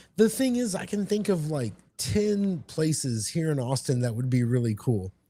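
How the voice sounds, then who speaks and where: A man with an American accent speaks at a moderate pace and a fairly high pitch, his voice somewhat breathy with a dark, mellow tone. His pitch swings very widely. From Texas. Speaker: gaming convention attendee. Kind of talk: casual chat.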